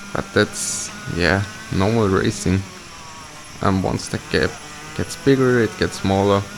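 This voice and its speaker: Music plays in the background as a man talks at a fairly slow pace, with long, frequent pauses. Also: fairly low pitch for a man, ordinary pitch variation. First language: not English. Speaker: kart racer. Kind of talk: live commentary over onboard footage. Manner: hesitant, many fillers.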